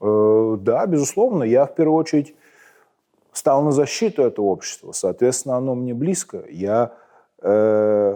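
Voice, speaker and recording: A man talks at a moderate pace in a Moscow accent. His tone is dark and mellow, and his intonation is lively. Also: quiet background. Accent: Moscow Russian accent when speaking Ukrainian. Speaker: military commander. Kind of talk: interview. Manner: many filler sounds (e, m).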